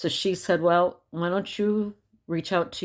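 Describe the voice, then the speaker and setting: A woman talks on a very clean recording, with a silent background behind her. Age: 60s. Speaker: vlogger sharing health update. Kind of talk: casual video diary. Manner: halting with fillers.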